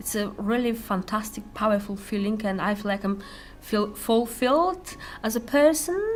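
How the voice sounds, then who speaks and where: A woman's fairly high, lively voice at a moderate pace, against noticeable background noise. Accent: Polish. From Poland. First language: Polish. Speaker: volunteer, psychotherapy student. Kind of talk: interview testimony. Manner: halting, many hesitations.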